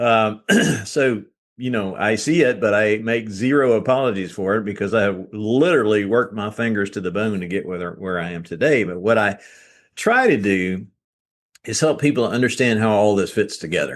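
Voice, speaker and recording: Speaking at a moderate pace in a Southern US accent, a man with fairly low pitch and ordinary pitch variation is heard against a quiet background. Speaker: author and real estate business owner. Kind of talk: podcast interview.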